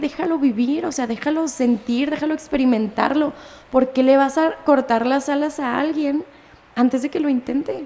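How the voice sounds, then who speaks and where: Her voice sits high, and she talks at a moderate pace with fairly even intonation. Noticeable background noise runs beneath the woman's speech. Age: 20s. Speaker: marketing professional and music student. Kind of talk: casual chat.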